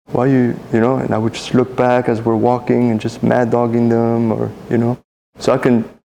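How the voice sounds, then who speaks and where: A man's medium-pitched voice in a French accent, dark and mellow in tone, monotone and flat, at a fairly quick pace. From Cambodia, then El Monte, Southern California from age ten. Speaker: tattoo artist. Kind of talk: interview, life story. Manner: casual, many fillers and restarts.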